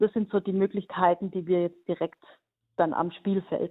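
Speaking at a moderate pace, a woman uses a fairly low pitch and a monotone, flat intonation. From Hohenlohe region, Baden-Württemberg, Germany. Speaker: national team coach and teacher. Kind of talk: radio interview.

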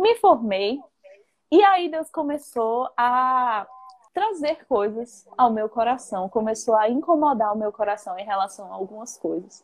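Speaking very slowly in a northeastern Brazilian accent, a woman uses lively intonation at a fairly high pitch. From Brazil, Northeast (Paraíba). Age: 20s. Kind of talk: casual faith conversation. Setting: Instagram live video call.

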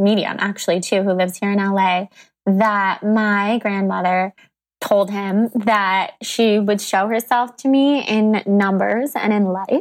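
A woman's normal speaking voice, medium in pitch and fairly slow in pace, on a very clean recording with a silent background. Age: 20s. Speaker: podcast host. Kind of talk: casual interview chat.

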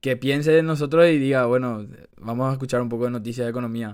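A man with an ordinary speaking voice talks at medium pitch with ordinary pitch variation. The recording is very clean, with a silent background. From Paraguay. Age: 20s. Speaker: economics student, podcast co-host. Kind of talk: casual chat.

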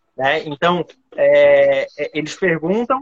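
A man talks with a Florianópolis accent. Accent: Florianópolis 'manezinho'. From Florianópolis, Brazil. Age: 30s. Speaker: coffee trainer. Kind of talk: casual chat.

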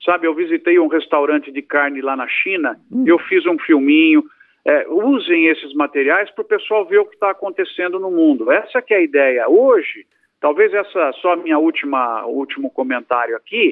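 At a moderate pace, the speech swings very widely in pitch. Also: man, high pitch for a man. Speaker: agronomist and professor. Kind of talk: interview.

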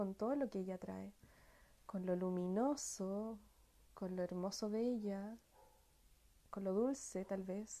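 Soft-spoken, a woman talks at a fairly slow pace. Her tone is dark and mellow, with fairly even intonation. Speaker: workshop facilitator on family healing. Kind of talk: live-stream talk. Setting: online live broadcast. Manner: halting, many repetitions. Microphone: sounds distant and quiet.

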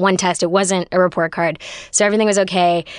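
In an American accent, a woman speaks at a medium pitch with monotone, flat intonation and a dry, close sound with no echo. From US West Coast, Los Angeles. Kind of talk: storytelling in casual chat.

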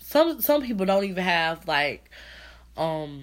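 A fairly low-pitched woman with an American accent at a moderate pace, on a very clean recording with a silent background. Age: 20s. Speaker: podcast host. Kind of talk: casual solo podcast talk. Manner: halting, many fillers.

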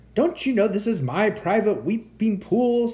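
The speaker uses a put-on character voice, delivered at a moderate pace. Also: man, high pitch for a man. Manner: angry, indignant.

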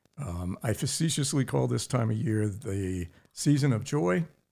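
A man's fairly low, somewhat breathy voice with lively intonation at a fairly slow pace. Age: 70s. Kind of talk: casual interview. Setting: studio, in person.

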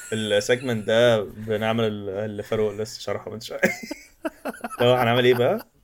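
A man's playful tone at medium pitch and moderate pace, with monotone, flat intonation, big swings in loudness, and long, frequent pauses. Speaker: podcast co-host. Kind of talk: casual chat, joking banter. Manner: joking, playful.

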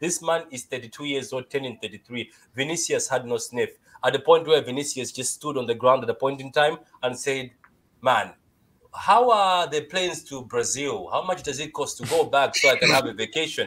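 On a very clean recording with a silent background, a man with a Malawian accent speaks at a moderate pace and a fairly high pitch. His tone is bright and sharp, with ordinary pitch variation and big swings in loudness. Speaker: caller.

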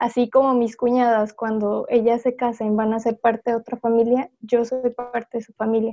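A woman speaks at a fairly high pitch with hardly any pauses. Her intonation is monotone and flat, while her loudness swings widely. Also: moderate pace. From Mexico City. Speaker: panel guest. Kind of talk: casual panel chat.

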